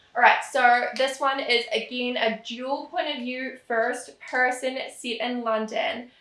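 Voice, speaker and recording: Speaking very slowly with hardly any pauses, a woman uses a high, bright, sharp voice and fairly even intonation, with audible room echo around her. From New Zealand. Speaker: romance author and booktuber. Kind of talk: casual chat. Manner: casual, rambling with fillers.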